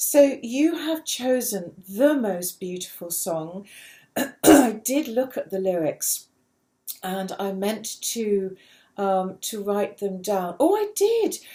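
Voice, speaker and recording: Very slow and somewhat breathy, the voice has a dark, mellow tone, lively intonation and big swings in loudness. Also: woman, fairly high pitch for a woman. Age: 60s. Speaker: podcast host. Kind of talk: interview.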